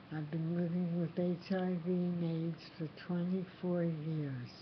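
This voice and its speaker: A woman's somewhat breathy, fairly low voice with an American accent, monotone and flat, at a very slow pace. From US East Coast. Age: 60s. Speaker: person living with HIV. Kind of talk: personal testimony to camera.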